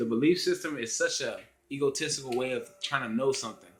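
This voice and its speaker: Over music in the background, a man talks at a medium pitch with ordinary pitch variation. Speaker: vlogger. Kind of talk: casual vlog monologue. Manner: halting, stumbles over words.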